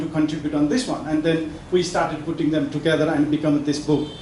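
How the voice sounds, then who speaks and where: Over noticeable background noise and audible room echo, a man with a fairly high pitch talks at a very fast pace. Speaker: professor and book editor. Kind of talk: speech at a book launch. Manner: halting, many fillers and restarts.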